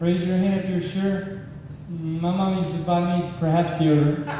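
A man speaks at a high pitch in a monotone, flat intonation, with strong room echo and light background noise. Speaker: stand-up comedian. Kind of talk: stand-up comedy routine. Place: stage.

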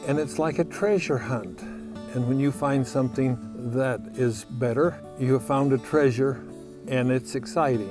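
A man speaks at a fairly slow pace with very even loudness, his voice dry with no echo and clear music in the background. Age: 80s+. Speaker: plant breeder. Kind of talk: documentary interview answer. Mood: warm, content, enthusiastic. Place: farm machine. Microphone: lapel.

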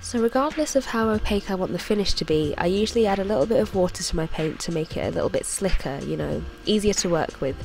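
A woman at a very fast pace with hardly any pauses, over music in the background. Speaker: artist, illustrator. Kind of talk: tutorial voice-over.

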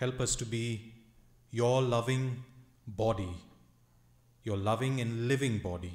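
Through audible room echo, a man speaks at a very slow pace in a somewhat breathy voice with ordinary pitch variation. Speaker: pastor. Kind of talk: prayer. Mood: calm, reverent. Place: church. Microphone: podium.

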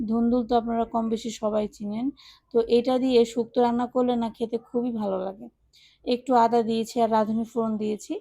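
A woman's voice, fairly high in pitch, carries a dark, mellow tone and a monotone, flat intonation. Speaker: cooking and lifestyle vlogger. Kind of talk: vlog narration.

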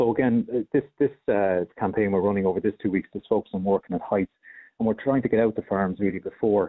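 A man talks at a very fast pace in an Irish accent. His pitch is fairly low and his intonation fairly even. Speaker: health and safety official. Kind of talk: radio interview. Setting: phone call.

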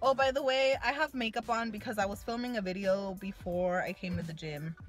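A woman speaks at a fairly quick pace. Clear music plays in the background. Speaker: fitness vlogger. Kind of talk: casual vlog chat. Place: car. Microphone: phone near.

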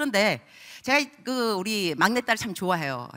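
A woman's voice comes through with a bright, sharp tone and vocal fry. The background is quiet. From Korean-American. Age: 50s. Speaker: missionary preacher. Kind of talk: sermon. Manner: animated. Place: church. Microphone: handheld.

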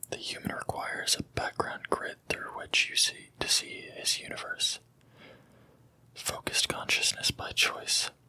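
A man whispering at a fairly slow pace over noticeable background noise. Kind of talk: whispered book reading. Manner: whispered, soft.

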